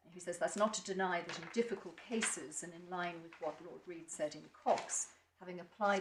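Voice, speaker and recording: Over noticeable background noise and audible room echo, a woman with a fairly low pitch speaks fairly quickly in a fairly even intonation. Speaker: barrister. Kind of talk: courtroom legal argument. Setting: courtroom.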